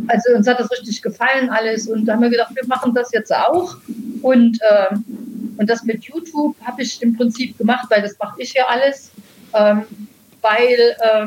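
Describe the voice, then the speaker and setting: Speech at a moderate pace broken by long, frequent pauses, over noticeable background noise. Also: woman. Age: 60s. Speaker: e-bike touring video creator. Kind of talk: casual interview.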